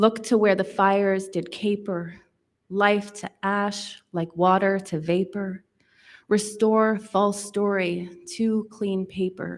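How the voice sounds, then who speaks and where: A woman with a Canadian accent speaks at a very slow pace in a monotone, flat intonation at medium pitch. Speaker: poet. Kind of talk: speech; poetry reading.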